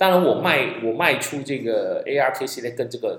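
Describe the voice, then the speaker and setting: With audible room echo, a man speaks at a fairly slow pace. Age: 50s. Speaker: stock investing podcaster. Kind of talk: solo podcast monologue.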